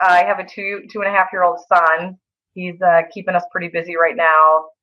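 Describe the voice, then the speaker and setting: A woman with a Wisconsin accent talks at a fairly low pitch. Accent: Wisconsin accent, noticeable. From Wisconsin, Eau Claire. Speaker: chiropractor. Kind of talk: casual interview.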